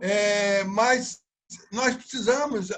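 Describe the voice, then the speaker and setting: Here a man has a high pitch with ordinary pitch variation. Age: 70s. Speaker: public servants' association leader. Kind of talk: interview. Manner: halting, repeats words.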